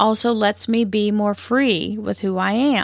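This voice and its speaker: Speaking fairly slowly with a Southern US accent, a woman keeps a medium pitch and fairly even intonation. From US South. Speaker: spiritual podcast host. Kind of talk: spiritual talk.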